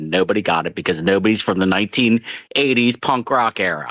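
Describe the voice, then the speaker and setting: A man with an American accent and an unremarkable speaking voice, fairly low in pitch with lively intonation at a fairly quick pace, in a dry, close sound with no echo. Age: 50s. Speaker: caller in open mic hangout. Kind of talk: casual chat.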